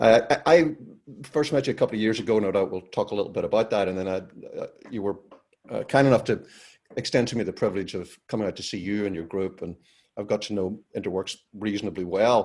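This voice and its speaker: Very fast but with long, frequent pauses, a man with a Northern Irish accent speaks at a fairly low pitch with ordinary pitch variation on a very clean recording with a silent background. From Northern Ireland. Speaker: podcast host. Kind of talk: podcast interview.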